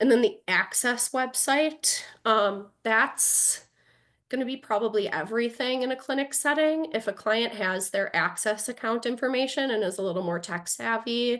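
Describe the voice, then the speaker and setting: Against a quiet background, a woman uses a normal speaking voice at a moderate pace with ordinary pitch variation. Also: fairly high pitch for a woman. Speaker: attorney, presenter. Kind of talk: lecture.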